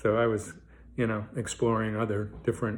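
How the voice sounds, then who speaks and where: This man's voice is somewhat breathy, with a medium pitch and a moderate pace. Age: 70s. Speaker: hip replacement patient vlogger. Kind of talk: casual video diary monologue. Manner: halting, many fillers.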